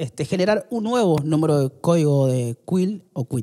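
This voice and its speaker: Over a quiet background, a man with a high pitch speaks in a dark, mellow tone with lively intonation. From Argentina, Córdoba (born in Salta); Argentina. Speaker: podcast guest. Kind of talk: interview. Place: studio. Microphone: studio mic.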